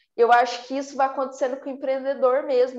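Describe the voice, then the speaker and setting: The woman's voice is high in pitch. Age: 20s. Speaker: entrepreneur. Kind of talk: interview chat.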